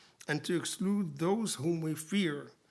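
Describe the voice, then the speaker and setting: A moderate pace with an Arabic accent. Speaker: poet and literary translator giving a lecture. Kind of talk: lecture. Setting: lecture theatre with audience. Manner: formal.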